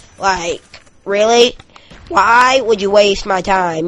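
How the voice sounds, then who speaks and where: A woman speaks here. She uses a put-on character voice. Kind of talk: casual, filler words. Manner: mocking, complaining.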